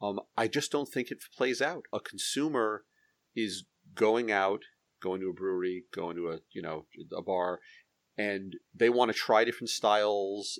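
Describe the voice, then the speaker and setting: A man with a normal speaking voice talks fairly slowly at a fairly low pitch with ordinary pitch variation, recorded very clean against a silent background. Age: middle-aged. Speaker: hop grower and podcast host. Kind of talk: casual chat. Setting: home basement studio.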